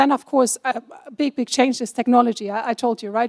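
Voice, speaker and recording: A woman with a German accent speaks at a fairly quick pace, her pitch high. Her intonation stays fairly even, and the sound is dry and close with no echo. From Germany. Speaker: compliance officer, panelist. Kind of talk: panel discussion.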